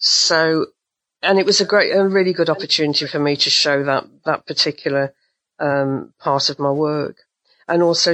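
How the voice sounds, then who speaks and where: A woman's very deep, low pitch at a moderate pace, with fairly even intonation. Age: 70s. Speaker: artist. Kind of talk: interview. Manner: halting.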